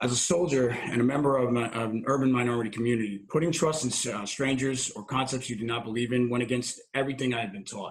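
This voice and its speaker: A man with a North Jersey accent talks at a very fast pace and medium pitch, his voice somewhat breathy. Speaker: army veteran, recovery volunteer coordinator. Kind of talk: personal testimony at a presentation.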